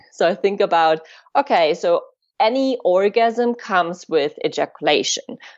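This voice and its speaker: This woman talks at a fairly slow pace. Her intonation is lively. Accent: German. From Germany. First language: German. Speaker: tantra and sex educator. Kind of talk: interview. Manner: halting.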